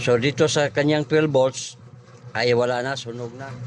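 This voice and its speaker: A man's medium-pitched voice, monotone and flat in intonation, at a very slow pace amid noticeable background noise. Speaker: vlogger doing electronics repair. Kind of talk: repair tutorial. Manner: casual, halting with fillers.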